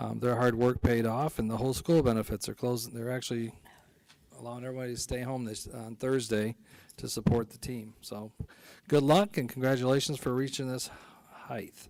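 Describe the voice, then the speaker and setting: With an American accent, a man speaks at a medium pitch and a moderate pace, keeping his intonation fairly even. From Ohio, Amherst. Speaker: county commissioner. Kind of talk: public board meeting report.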